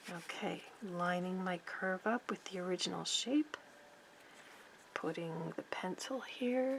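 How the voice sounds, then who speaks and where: Amid noticeable background noise, a woman at a medium pitch speaks at a fairly slow pace with lively intonation and long, frequent pauses. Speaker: sewing pattern-making teacher. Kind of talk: tutorial.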